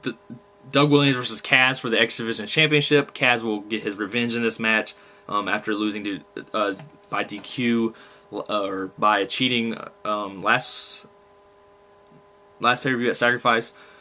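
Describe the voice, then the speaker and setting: There is noticeable background noise behind this man's medium-pitched voice. His intonation stays fairly even, broken by long, frequent pauses. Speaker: wrestling fan vlogger. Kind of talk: casual monologue. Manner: fast, gets ahead of himself; halting.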